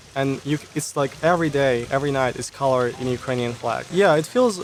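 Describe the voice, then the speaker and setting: Fairly brisk male speech over noticeable background noise. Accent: Russian. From Russia. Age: 20s. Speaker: YouTuber. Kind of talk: interview conversation.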